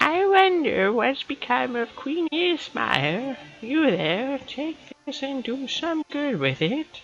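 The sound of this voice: This is a put-on character voice, pitched high. It moves at a very slow pace.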